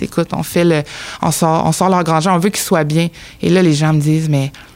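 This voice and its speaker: A woman talks at a very fast pace in a very deep, low pitch. Noticeable background noise is present. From Abitibi-Témiscamingue, Quebec. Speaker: newcomer integration worker. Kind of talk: casual chat.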